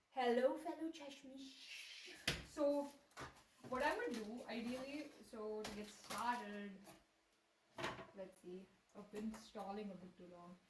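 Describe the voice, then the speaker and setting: The speech comes at a fairly slow pace with long, frequent pauses, lively intonation and big swings in loudness, over noticeable background noise and audible room echo. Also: woman, fairly high pitch for a woman. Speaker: streamer. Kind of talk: casual livestream cooking chat. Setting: home kitchen livestream. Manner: halting, repeats words. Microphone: laptop mic, poor audio.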